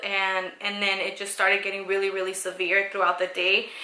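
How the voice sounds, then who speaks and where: A woman with a medium-pitched voice talks in a space with audible room echo. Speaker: vlogger sharing pregnancy story. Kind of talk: personal testimony vlog. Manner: hesitant, many fillers.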